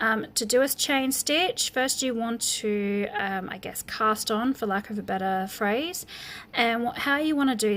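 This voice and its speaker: Noticeable background noise runs under the recording. A woman talks at a fairly high pitch. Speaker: crochet teacher. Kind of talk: tutorial. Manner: halting, many ums; casual, chatty.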